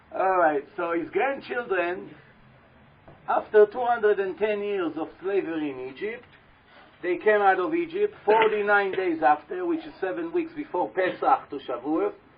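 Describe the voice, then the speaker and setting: Over noticeable background noise, a man talks at a moderate pace with a high pitch and very wide pitch swings. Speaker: rabbi lecturer. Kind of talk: lecture. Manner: animated.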